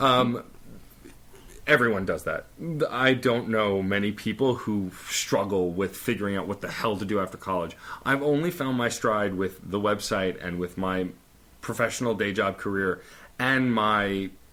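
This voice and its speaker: Using an ordinary speaking voice, a man talks at a moderate pace. His pitch is fairly low, with ordinary pitch variation. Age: 30s. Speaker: podcast host. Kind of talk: casual chat.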